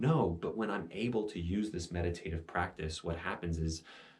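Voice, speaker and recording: Speaking at a fairly slow pace, a man has a very deep, low pitch, a somewhat breathy sound and ordinary pitch variation. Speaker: meditation teacher. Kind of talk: instructional talk on meditation. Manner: slowed, meditative voice at times.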